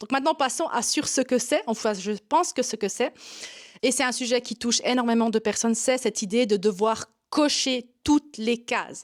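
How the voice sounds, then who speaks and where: Speaking in a Swiss German accent, a woman uses a high pitch with ordinary pitch variation at a moderate pace. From Swiss German Switzerland. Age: 40s. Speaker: yoga teacher and online marketing coach. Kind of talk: vlog to camera. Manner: hesitant with frequent 'euh' fillers.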